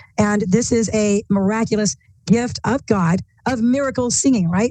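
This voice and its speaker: Somewhat breathy and dark, mellow in tone, a woman speaks at a medium pitch. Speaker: bible teacher. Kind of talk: bible study discussion.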